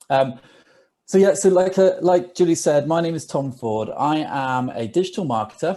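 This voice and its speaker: With a British accent, a man speaks at a moderate pace in a fairly high voice. His tone is dark and mellow, and his intonation is lively. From England. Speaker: digital marketer. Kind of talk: webinar presentation.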